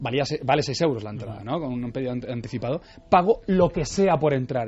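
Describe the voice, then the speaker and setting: A man with a medium-pitched, somewhat breathy voice talks at a very fast pace. His intonation is lively. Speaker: Leonardo da Vinci expert guest. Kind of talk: radio interview.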